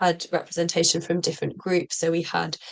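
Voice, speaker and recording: This woman's voice sits fairly low in pitch, with a British accent. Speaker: social co-op practitioner. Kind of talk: presentation. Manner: halting, many fillers.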